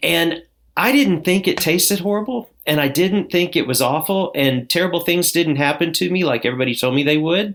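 A high-pitched man with an American accent, lively intonation, very even loudness and a fairly quick pace, on a very clean recording with a silent background. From southern Indiana. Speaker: addiction recovery coach. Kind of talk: interview, personal testimony.

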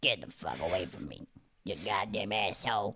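In a put-on character voice, low-pitched, croaky and raspy, the speaker talks at a moderate pace. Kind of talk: crude, profane. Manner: hostile, cursing.

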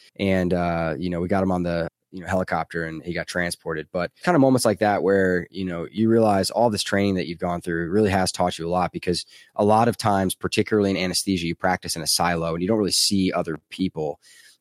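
A man with an American accent talks very fast with hardly any pauses, his very deep, low voice held to fairly even intonation. The recording is very clean with a silent background and a dry, close sound with no echo. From US South. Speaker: anesthesiologist and finance blogger. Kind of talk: interview.

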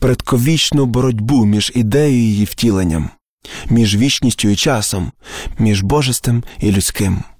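A natural reading voice against a quiet background.

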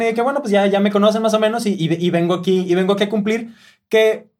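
Delivery comes at a very fast pace with ordinary pitch variation. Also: man. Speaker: musical director. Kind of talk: casual chat. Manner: halting, many repeated words.

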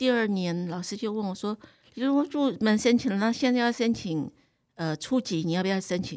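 A woman in a plain, everyday voice speaks at a moderate pace and medium pitch with lively intonation, in a very clean recording with a silent background. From Taiwan. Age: 60s. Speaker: cooking teacher. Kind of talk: interview.

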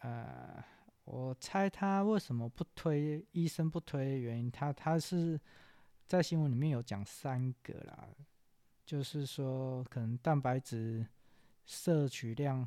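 Very slowly, a man with a dark, mellow tone speaks at a medium pitch with ordinary pitch variation, the sound dry and close with no echo on a very clean recording with a silent background. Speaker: news podcast host. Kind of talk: news commentary monologue. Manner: slightly halting, stumbles over words.

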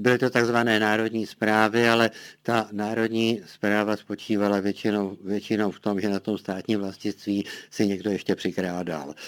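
A man's fairly low pitch in monotone, flat intonation at a moderate pace, in a very clean recording with a silent background. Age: 80s+. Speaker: political scientist. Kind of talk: interview.

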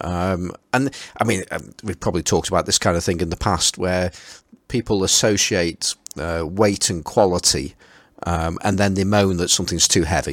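A man's very deep, low voice in a Potteries accent, fairly slow, on a very clean recording with a silent background. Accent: Potteries (Stoke-on-Trent) English. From Stoke-on-Trent, England. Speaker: podcast host. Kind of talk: casual chat.

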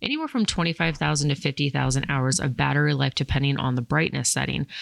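A woman's very deep, low-pitched voice. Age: 30s. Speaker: podcast host and firearms instructor. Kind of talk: casual chat.

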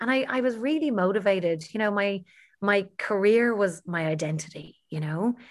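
A woman with a Dublin accent and lively intonation. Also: medium pitch for a woman, moderate pace. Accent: Dublin Irish. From Ireland, Dublin. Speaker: health coach and TV panelist. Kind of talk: interview conversation.

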